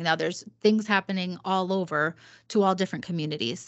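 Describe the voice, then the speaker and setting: A woman's normal speaking voice, medium in pitch, fairly quick in pace, with fairly even intonation. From Puerto Rican background, US Northeast. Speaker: marketing director and diversity lead. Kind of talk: casual chat.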